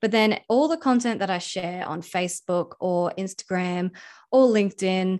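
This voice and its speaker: At a fairly slow pace, a woman with an Australian accent talks at medium pitch with ordinary pitch variation over a quiet background. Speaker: video editor and coach. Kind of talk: interview. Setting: remote call.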